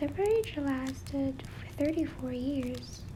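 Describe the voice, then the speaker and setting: Noticeable background noise underlies speech delivered at a very slow pace. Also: woman. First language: not English. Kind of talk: casual commentary after the letter. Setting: home recording with fireplace sound in background.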